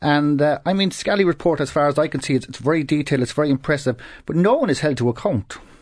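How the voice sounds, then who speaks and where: A man speaks in a Cork accent. His pace is very fast. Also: quiet background. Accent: Cork Irish. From Ireland, Cork City. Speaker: politics professor. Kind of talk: panel discussion on radio. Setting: radio studio.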